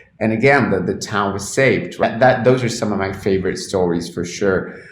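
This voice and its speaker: Over noticeable background noise and audible room echo, a man with a Spanish accent and fairly low pitch speaks at a fairly quick pace. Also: ordinary pitch variation. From Argentina. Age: 30s. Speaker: cannabis journalist. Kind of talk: interview. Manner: frequent repetitions and false starts.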